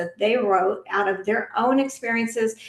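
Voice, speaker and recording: Noticeable background noise behind a woman's voice, fairly high for a woman. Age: 60s. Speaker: anti-trafficking advocate and author. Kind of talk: podcast interview.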